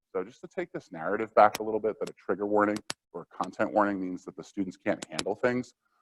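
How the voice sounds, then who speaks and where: The sound is dry and close with no echo as a man speaks at a fairly low pitch. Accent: American. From New Jersey. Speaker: workshop presenter, counselor and author. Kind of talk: lecture. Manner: casual, many fillers like um.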